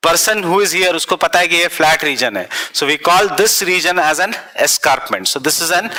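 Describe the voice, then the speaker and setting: There is noticeable background noise. Over it, a man speaks at a high pitch. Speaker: exam coaching teacher. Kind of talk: lecture.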